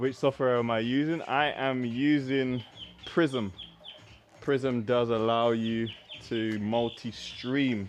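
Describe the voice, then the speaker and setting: Over noticeable background noise, a man with a London accent speaks at a very slow pace with fairly even intonation. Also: medium pitch for a man. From South East London. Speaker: fitness coach. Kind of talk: live workout stream chat. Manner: casual, repetitive.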